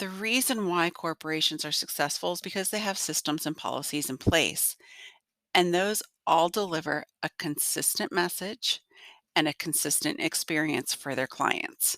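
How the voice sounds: A woman's low-pitched, nasal and gruff voice with a fairly bright tone at a moderate pace, in a dry, close sound with no echo. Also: ordinary pitch variation.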